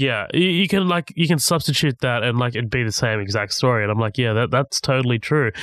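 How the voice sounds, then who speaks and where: In a plain, everyday voice, a man talks at a fairly quick pace and medium pitch with lively intonation and hardly any pauses, the sound dry and close with no echo against a quiet background. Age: 20s. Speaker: film podcast guest. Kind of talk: casual chat.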